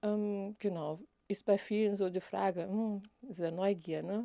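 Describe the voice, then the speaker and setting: A woman's dark, mellow voice at medium pitch with a non-native accent, fairly even intonation, and a dry, close sound with no echo. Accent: non-native German, speaks with errors. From Brazil, Rio de Janeiro. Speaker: equal opportunities officer. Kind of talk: interview. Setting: studio.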